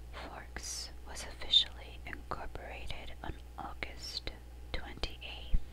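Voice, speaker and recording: A soft-spoken woman whispering at a very slow pace over noticeable background noise. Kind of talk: reading statistics. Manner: whispered, soft-spoken.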